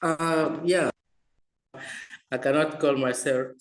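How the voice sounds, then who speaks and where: The speaker is a man with a non-native accent. He talks very slowly. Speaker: researcher. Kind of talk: webinar panel discussion. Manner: halting.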